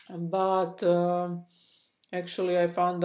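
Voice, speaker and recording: On a very clean recording with a silent background, a woman speaks with a fairly low pitch. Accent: non-native. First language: not English. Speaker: spiritual coach and channel host. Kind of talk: personal testimony vlog. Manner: halting, many fillers and restarts.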